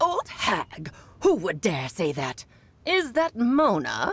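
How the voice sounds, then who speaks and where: A put-on character voice sits at a fairly high pitch. The pace is very slow. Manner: imitating another character's voice.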